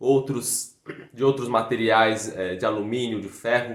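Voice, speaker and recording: A flat, monotone delivery in a São Paulo accent. The pace is fairly slow. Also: man. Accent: Brazilian Portuguese, São Paulo (paulistano). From Brazil, São Paulo city. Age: 20s. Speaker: fife player and teacher. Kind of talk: video lesson.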